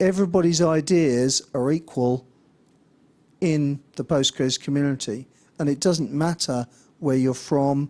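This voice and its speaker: Recorded with a dry, close sound and no echo, the speech moves at a fairly slow pace with long, frequent pauses. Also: man, fairly high pitch for a man, ordinary pitch variation. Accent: English. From England. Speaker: conference speaker, software developer. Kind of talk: conference talk. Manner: hesitant, many fillers.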